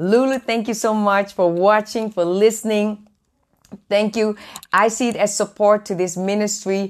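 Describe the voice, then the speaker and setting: A woman speaks at a moderate pace. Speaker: ministry host. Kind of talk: live stream chat with viewers. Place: home room. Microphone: lapel.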